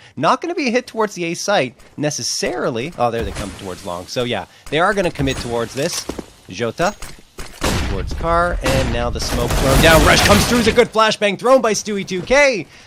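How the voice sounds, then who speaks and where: A man with a high pitch and very wide pitch swings speaks over noticeable background noise. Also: fairly quick pace. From Canada. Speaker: esports caster. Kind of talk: live commentary.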